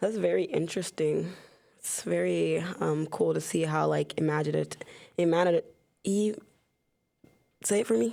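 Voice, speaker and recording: A woman speaks at a moderate pace. Her speech has long, frequent pauses. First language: not English. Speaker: podcast co-host. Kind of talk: casual chat.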